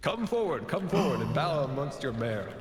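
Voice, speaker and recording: A man performs a put-on character voice, booming at a fairly high pitch and a moderate pace. There is a clear echo. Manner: commanding, regal.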